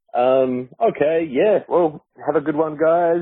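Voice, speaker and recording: Very slow speech in an Australian accent. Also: man. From Australia, Adelaide. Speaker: listener leaving voicemail. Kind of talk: voicemail message. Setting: phone voicemail.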